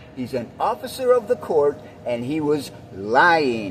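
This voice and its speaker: Against noticeable background noise, a man talks at a fairly high pitch with very wide pitch swings. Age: 60s. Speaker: vlogger telling a personal story. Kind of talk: personal storytelling to camera. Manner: casual, with fillers and repetitions.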